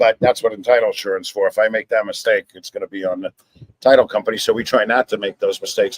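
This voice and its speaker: A man with a New York accent at a very fast pace, in a dry, close sound with no echo. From New York City. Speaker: title insurance agent. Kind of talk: live show interview. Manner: talks with his hands, animated.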